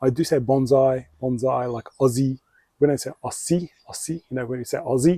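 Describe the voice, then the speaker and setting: Speaking in a strong Australian accent, a man uses a medium pitch with ordinary pitch variation, and his somewhat breathy voice has a dark, mellow tone. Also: dry, close sound with no echo. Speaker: bonsai hobbyist YouTuber. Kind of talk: tutorial. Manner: casual, hesitant with fillers.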